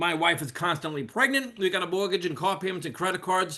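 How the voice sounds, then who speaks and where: The speaker talks at a very fast pace in a New York accent with a bright, sharp tone. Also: man. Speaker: network marketer, retired firefighter. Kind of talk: sales presentation. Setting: video call.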